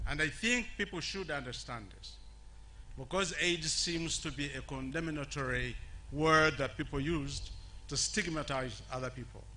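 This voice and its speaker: A man speaks at a moderate pace. There is audible echo from the room. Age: 70s. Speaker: HIV activist. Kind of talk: public speech. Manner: halting.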